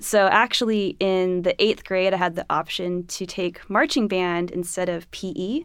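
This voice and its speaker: A woman with a Californian accent speaks at a moderate pace and medium pitch, with hardly any pauses. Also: ordinary pitch variation. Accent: General American (California). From Los Angeles. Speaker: orchestra flutist. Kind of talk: casual interview.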